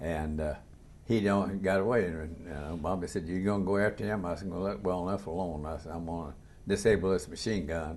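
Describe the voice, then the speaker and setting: A fairly quick delivery with a southern Indiana accent and audible room echo. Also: man, very deep, low pitch for a man, ordinary pitch variation. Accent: southern Indiana rural American. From US Midwest, southern Indiana. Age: 80s+. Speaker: war veteran. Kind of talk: oral history interview. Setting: hotel room interview. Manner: halting, with repetitions.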